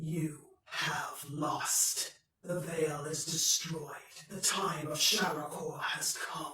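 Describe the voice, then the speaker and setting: Loud and very slow, this put-on character voice stays at a middle pitch. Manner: menacing, declaring victory.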